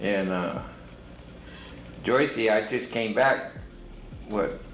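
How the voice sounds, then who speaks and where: A man's fairly low voice with ordinary pitch variation at a very slow pace, with audible room echo and music in the background. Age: 70s. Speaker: formerly incarcerated man. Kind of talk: casual chat.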